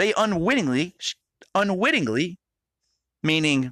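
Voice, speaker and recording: A man's raised, projected voice, bright and sharp in tone, with lively intonation and a dry, close sound with no echo. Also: very clean recording, silent background. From Rhode Island, New England. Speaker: podcast host. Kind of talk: casual monologue. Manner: halting, repetitive.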